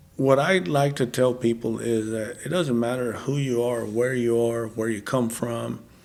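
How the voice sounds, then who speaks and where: Against noticeable background noise, a man speaks at a medium pitch and moderate pace, his intonation fairly even and his pauses few. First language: Spanish. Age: 40s. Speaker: podcast guest, former cowboy. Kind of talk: testimony.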